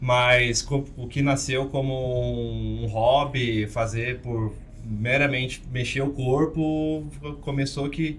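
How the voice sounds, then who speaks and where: A man speaks at a medium pitch with ordinary pitch variation. Audible room echo surrounds his voice. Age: 20s. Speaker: co-host of a table tennis podcast. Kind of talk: casual podcast chat.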